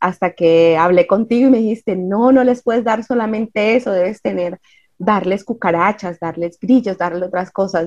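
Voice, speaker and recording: A woman speaks in a normal speaking voice with ordinary pitch variation. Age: 40s. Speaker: ant-keeping club founder. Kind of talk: interview.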